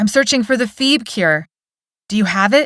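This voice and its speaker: A woman growls through a put-on character voice at a fairly high pitch, with lively intonation. The sound is dry and close, with no echo. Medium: read story.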